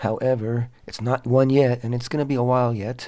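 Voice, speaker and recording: A man speaks at a moderate pace in a dark, mellow tone with monotone, flat intonation. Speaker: Torah teacher and show host. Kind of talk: religious teaching talk. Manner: halting, many fillers.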